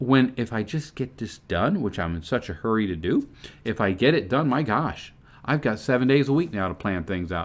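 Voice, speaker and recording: Against a quiet background, a man speaks at a fairly quick pace. His voice shows vocal fry. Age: 60s. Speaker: online business promoter and car dealership service manager. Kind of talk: motivational vlog talk. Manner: casual, conversational.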